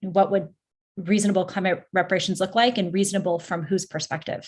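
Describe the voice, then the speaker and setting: A woman talks at a fairly quick pace and medium pitch, sounding somewhat breathy. The recording is very clean, with a silent background. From Canada, near Toronto. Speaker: sport and climate researcher. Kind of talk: panel discussion introduction.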